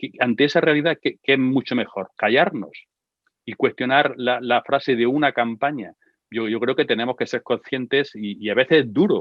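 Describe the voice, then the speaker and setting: The man's voice has a medium pitch and ordinary pitch variation. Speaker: expert speaker on gender violence. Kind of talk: online talk and conversation. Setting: online session with sign language interpreters. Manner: fast.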